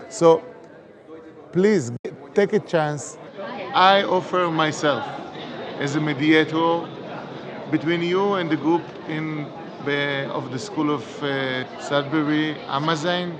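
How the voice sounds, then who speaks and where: A man's fairly high voice at a very slow pace, with ordinary pitch variation and long, frequent pauses, amid crowd noise and audible room echo. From Israel. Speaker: democratic education advocate. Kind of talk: recorded video appeal. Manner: halting.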